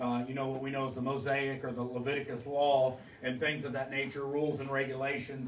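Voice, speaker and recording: A man talks at a fairly quick pace. Light background noise and audible room echo are present. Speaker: pastor. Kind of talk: sermon. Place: church. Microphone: camera far.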